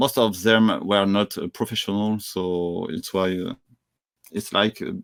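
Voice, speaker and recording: A man at a fairly slow pace, in a very clean recording with a silent background and a dry, close sound with no echo. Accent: French. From France. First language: French. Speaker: entrepreneur and traveler. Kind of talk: interview conversation. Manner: halting, many fillers.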